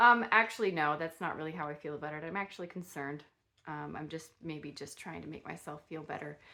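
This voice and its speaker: Talking at a very fast pace, a woman with a very deep, low pitch and a bright, sharp tone shows ordinary pitch variation and big swings in loudness. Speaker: lifestyle YouTuber, product reviewer. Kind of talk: casual product review vlog. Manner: halting, many fillers and restarts; slightly slurred speech.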